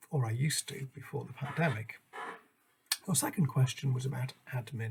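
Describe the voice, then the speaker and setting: A man's somewhat breathy voice at medium pitch, fairly quick in pace, with ordinary pitch variation. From northwest England. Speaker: English language teacher. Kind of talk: self-introduction presentation. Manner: formal.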